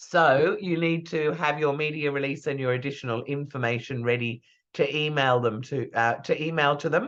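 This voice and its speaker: At a moderate pace, a woman with an Australian accent speaks in a very deep, low pitch with ordinary pitch variation. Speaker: PR trainer. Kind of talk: lecture.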